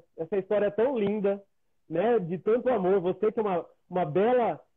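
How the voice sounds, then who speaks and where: A man with a high voice speaks at a moderate pace, his loudness very even and his pitch varying in an ordinary way. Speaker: live show host. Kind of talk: interview. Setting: video call. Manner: animated.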